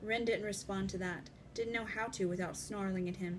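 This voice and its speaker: Music plays in the background. The speaker keeps a moderate pace and fairly even intonation. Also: woman. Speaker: author. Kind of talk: audiobook-style fiction reading.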